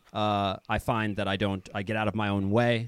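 A man talks at a fairly quick pace with a Midwestern American accent. His pitch is fairly low and his intonation fairly even. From US Midwest, Kansas City. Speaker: professional footballer and polyglot. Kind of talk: interview conversation. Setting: video call.

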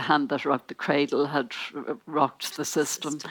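An Irish accent shapes this woman's very deep, low-pitched voice. The sound is dry and close, with no echo. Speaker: newspaper columnist. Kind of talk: panel discussion.

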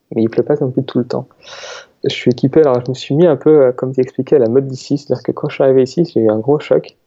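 A man at medium pitch, talking at a very fast pace with fairly even intonation. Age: 20s. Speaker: researcher. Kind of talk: casual interview.

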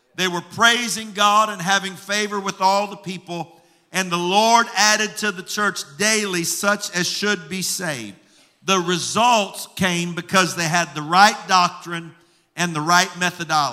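A man's high-pitched, raised and projected voice, fairly even in intonation, at a fairly slow pace. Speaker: pastor. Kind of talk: sermon. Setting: church with congregation.

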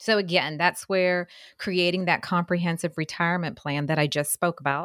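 A woman speaks in an ordinary speaking voice at a medium pitch, with ordinary pitch variation. Her pace is moderate, and the sound is dry and close with no echo. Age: 40s. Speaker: retirement financial advisor. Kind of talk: radio talk show chat. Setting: radio studio.

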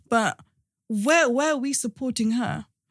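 In a very clean recording with a silent background, a somewhat breathy woman talks at a moderate pace with ordinary pitch variation. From London and Cardiff, Wales. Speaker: podcast host. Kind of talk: casual interview.

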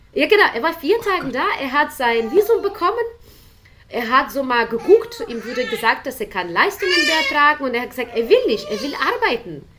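The speech moves at a fairly quick pace with very wide pitch swings. Noticeable background noise is present. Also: woman, high pitch for a woman. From Ukraine. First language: Ukrainian/Russian (speaking German). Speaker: volunteer interpreter for refugees. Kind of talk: interview. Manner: hesitant, many fillers.

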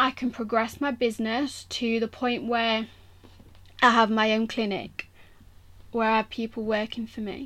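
A woman with an East Midlands accent talks at a moderate pace, her fairly high voice monotone and flat. She leaves long, frequent pauses, and the recording is very clean with a silent background. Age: 20s. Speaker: sports massage therapist and podcast host. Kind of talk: solo podcast monologue. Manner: casual, frequent laughter.

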